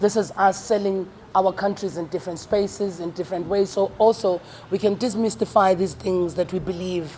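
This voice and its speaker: Noticeable background noise is present. The speech moves at a fairly quick pace. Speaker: comedian. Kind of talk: press conference speech. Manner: fast.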